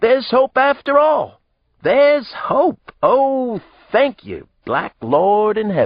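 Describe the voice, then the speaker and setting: A man puts on a loud, shrill character voice at an extremely high pitch. He delivers it at a fairly slow pace. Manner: loud, exclaiming.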